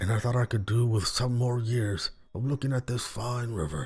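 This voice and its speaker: Using a put-on character voice, a man speaks at a moderate pace with faint music in the background. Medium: read story. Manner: folksy, dry, gruff.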